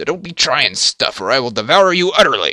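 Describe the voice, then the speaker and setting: Speaking at a fairly quick pace, a man uses a put-on character voice pitched high. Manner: cheery, mock-threatening.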